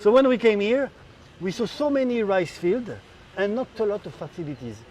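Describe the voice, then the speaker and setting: Fairly quick and lively in intonation, a man speaks with a French accent and a high pitch. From France. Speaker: rice business owner. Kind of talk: interview.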